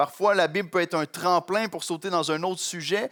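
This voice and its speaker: A man's high-pitched voice, dry and close with no echo, on a very clean recording with a silent background. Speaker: pastor. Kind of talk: sermon. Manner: fast in places.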